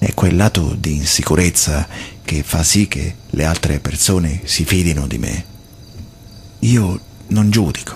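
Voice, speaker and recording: A man's very deep, low voice with ordinary pitch variation and long, frequent pauses, over light background noise. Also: fairly slow pace. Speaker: radio host. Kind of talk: radio monologue. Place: studio.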